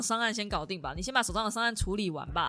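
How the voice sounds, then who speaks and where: Talking at a very fast pace, a woman with a bright, sharp tone swings very widely in pitch. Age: 30s. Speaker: podcast host. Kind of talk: casual solo talk.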